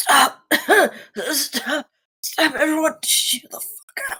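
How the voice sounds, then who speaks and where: A put-on character voice, high-pitched and raspy, at a very slow pace. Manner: commanding, shouting.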